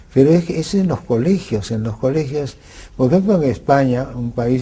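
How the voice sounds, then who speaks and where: A man's voice, with ordinary pitch variation and a moderate pace, comes through noticeable background noise. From Peru, Lima. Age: 80s+. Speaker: legal expert interviewed on TV. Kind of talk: TV interview. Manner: halting, many fillers and restarts.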